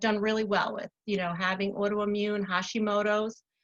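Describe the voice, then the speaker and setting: A woman with a Long Island accent speaks at a medium pitch and a moderate pace. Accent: New York (Long Island). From US Northeast. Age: 60s. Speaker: spa owner. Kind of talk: casual interview.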